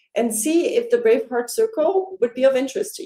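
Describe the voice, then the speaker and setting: With a Dutch accent, a woman speaks at a moderate pace in a dark, mellow tone with lively intonation. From Netherlands. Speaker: life coach. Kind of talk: sales pitch. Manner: warm, enthusiastic.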